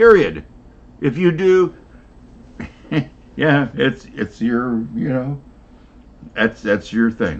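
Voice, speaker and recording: At a very slow pace with long, frequent pauses, a man speaks at a medium pitch and makes very wide pitch swings. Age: 70s. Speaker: rc hobbyist with engineering degree. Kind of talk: casual chat.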